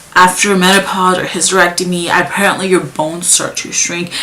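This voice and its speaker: Over noticeable background noise, a woman with a fairly low pitch speaks at a fairly quick pace. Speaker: vlogger. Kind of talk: casual vlog talk. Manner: fast; halting.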